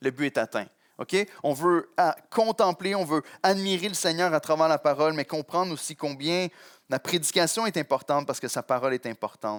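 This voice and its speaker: Recorded very cleanly against a silent background, a man speaks at a fairly high pitch with ordinary pitch variation, the sound dry and close with no echo. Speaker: pastor. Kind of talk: sermon. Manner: fast in places.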